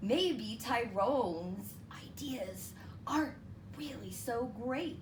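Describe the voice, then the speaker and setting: A put-on character voice that sounds female moves at a very slow pace over clear background noise. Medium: read story. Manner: bossy, threatening.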